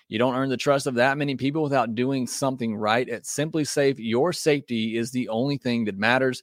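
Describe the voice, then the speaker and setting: In an ordinary speaking voice, the speaker goes at a fairly quick pace with hardly any pauses, on a very clean recording with a silent background. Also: man, medium pitch for a man. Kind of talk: infomercial-style host-read ad for a home security system, upbeat sales pitch. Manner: smooth, friendly and persuasive, pitching benefits at a brisk, reassuring pace.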